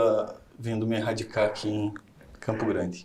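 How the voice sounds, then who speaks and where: Amid audible room echo, a man speaks in a dark, mellow tone at a moderate pace with flat, monotone intonation. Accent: strong Paraná. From southern Paraná, Brazil. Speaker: surgeon. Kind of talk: interview. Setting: studio. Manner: halting.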